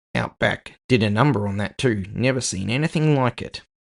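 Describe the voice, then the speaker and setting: A man puts on a character voice. His pitch is medium and his pace is moderate. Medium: audio drama. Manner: casual, matey.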